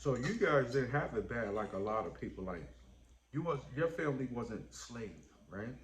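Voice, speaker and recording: A man talks with lively intonation. Room echo is audible. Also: medium pitch for a man, moderate pace. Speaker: YouTuber. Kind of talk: casual chat.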